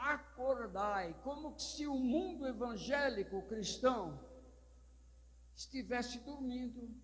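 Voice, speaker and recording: In a room with audible echo, a man talks at a very slow pace in an extremely high pitch with ordinary pitch variation. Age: 70s. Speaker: pastor. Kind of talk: sermon.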